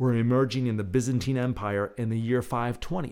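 On a very clean recording with a silent background, an unremarkable speaking voice is heard. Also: man. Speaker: radio host. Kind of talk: dramatic narration, poetic scripted astronomy tour read aloud. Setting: radio show, late-night broadcast. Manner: hushed, slow, theatrical, wonder-filled; soothing, measured, guided-breathing cadence.

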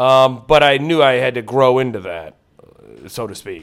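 Speaking at a moderate pace, a man with a Midwestern American accent has a medium-pitched voice. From Ohio, Lorain near Cleveland. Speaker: comedian. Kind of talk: casual chat.

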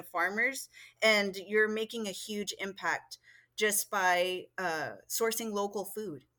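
Using a bright, sharp tone, a woman with an American accent speaks at medium pitch and a very slow pace with fairly even intonation, on a very clean recording with a silent background. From US South, Texas border (Laredo). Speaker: farmer and rancher. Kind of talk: interview.

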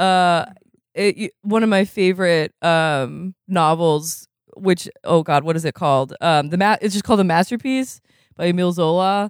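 In a very clean recording with a silent background, a woman in an ordinary speaking voice talks at a moderate pace with fairly low pitch and ordinary pitch variation, the sound dry and close with no echo. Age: 30s. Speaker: podcast co-host. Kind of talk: casual chat.

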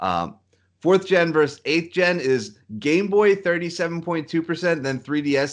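Quiet background surrounds a man speaking at a moderate pace. He has an ordinary speaking voice with a fairly high pitch. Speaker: podcast host. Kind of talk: casual chat.

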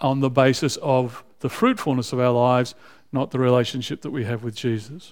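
This man has an Australian accent and a medium-pitched voice. He talks at a fairly quick pace. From Australia (raised in Canberra). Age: 60s. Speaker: visiting preacher. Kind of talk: sermon. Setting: church.

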